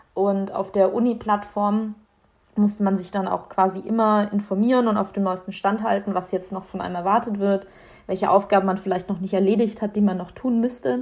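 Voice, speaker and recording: At a moderate pace, a woman speaks at a medium pitch. Her intonation is monotone and flat. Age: 20s. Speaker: medical student. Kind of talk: personal account.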